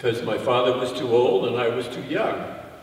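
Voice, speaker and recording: Noticeable background noise plus audible room echo. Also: man. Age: 80s+. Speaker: novelist and TV writer. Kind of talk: Q&A talk. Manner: halting.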